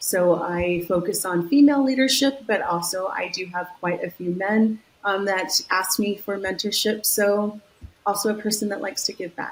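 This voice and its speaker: Over noticeable background noise, a woman with an American accent speaks at a moderate pace and medium pitch, with ordinary pitch variation. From US West Coast, San Diego, California. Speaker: marketing executive. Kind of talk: interview.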